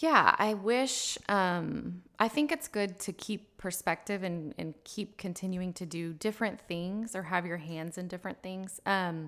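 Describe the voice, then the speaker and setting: A woman speaks at a moderate pace in a normal speaking voice. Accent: American. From Texas Hill Country (Fredericksburg). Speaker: family lawyer, law school alumni director. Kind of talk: interview.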